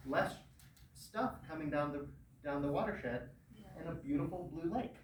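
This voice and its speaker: A man is speaking. Audible room echo and noticeable background noise surround the voice. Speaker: lake science educator. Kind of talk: lecture. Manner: animated.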